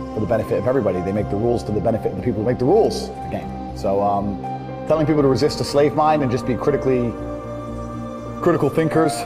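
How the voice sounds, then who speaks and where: A man's medium-pitched voice with very wide pitch swings at a very fast pace, music in the background. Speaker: motivational speaker. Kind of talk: interview answer.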